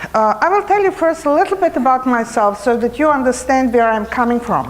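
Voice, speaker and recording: A woman with a high voice and lively intonation speaks fairly quickly. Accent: Serbo-Croatian. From former Yugoslavia. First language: Serbo-Croatian. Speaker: cancer retreat trainer. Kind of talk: conference presentation. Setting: conference hall microphone.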